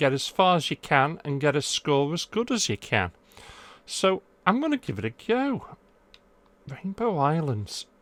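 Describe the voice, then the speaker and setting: A man with an English accent talks at a fairly slow pace, his fairly high pitch moving in very wide swings between long, frequent pauses. The sound is dry and close with no echo, on a very clean recording with a silent background. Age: middle-aged. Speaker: gaming YouTuber. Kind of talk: casual vlog.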